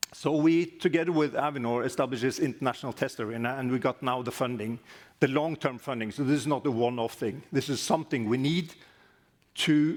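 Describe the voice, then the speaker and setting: Very fast speech from a man of medium pitch, ordinary pitch variation, on a very clean recording with a silent background. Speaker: aviation regulator. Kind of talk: conference presentation. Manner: loud.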